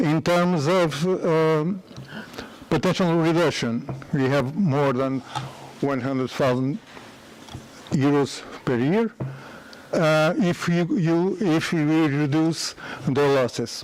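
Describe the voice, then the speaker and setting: A man with a Portuguese accent and fairly high pitch speaks very slowly with long, frequent pauses and very even loudness, over noticeable background noise. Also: ordinary pitch variation. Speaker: company founder and engineer. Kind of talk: conference presentation. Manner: halting.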